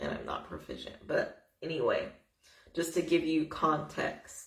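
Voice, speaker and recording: A woman talks at a fairly slow pace, her voice carrying audible room echo. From United States. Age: 20s. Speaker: vlogger. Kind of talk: personal testimony vlog. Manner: casual, conversational with fillers.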